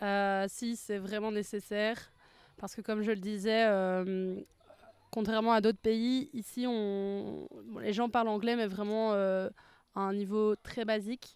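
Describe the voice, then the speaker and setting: At a very slow pace, a woman speaks in monotone, flat intonation, recorded in a dry sound with no echo. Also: medium pitch for a woman. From Belgium. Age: 20s. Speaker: language student. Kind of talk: testimony. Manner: hesitant, many fillers. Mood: relaxed, positive. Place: garden. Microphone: handheld.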